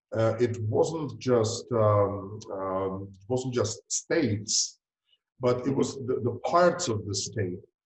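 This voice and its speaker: Speaking at a very slow pace, a man with a Czech accent has a medium pitch and sounds somewhat breathy. His loudness swings a lot. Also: ordinary pitch variation. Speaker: fertility doctor. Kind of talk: interview. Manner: hesitant, many fillers.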